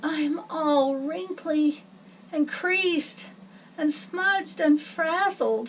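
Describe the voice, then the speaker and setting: Put-on character voice at a very slow pace, with clear background noise. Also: woman, high pitch for a woman. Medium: read story. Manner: plaintive, hopeful.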